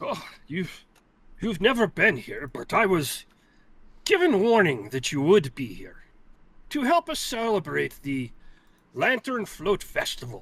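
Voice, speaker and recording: This is a put-on character voice, delivered at a fairly slow pace with long, frequent pauses. The recording is very clean, with a silent background. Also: man, high pitch for a man. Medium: actual play.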